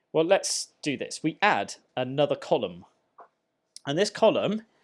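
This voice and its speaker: A man with an ordinary speaking voice talks at a moderate pace. His pitch is fairly high and his intonation lively. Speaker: maths teacher. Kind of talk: tutorial. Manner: conversational.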